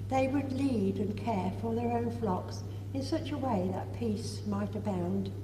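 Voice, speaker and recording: A woman speaks fairly slowly in a very deep, low voice with monotone, flat intonation, and there is noticeable background noise. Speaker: lay intercessor in church congregation. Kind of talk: led prayers. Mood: solemn, measured. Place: church. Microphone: camera far.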